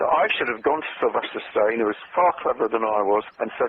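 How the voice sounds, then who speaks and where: Someone with a British accent talks at a very fast pace over noticeable background noise. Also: man. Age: 70s. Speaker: copywriter. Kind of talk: interview.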